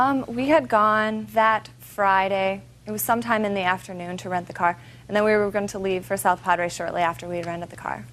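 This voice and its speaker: Fairly quick in pace, a woman talks with a medium pitch and ordinary pitch variation. She has a plain, everyday voice. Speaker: plaintiff. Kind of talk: courtroom testimony.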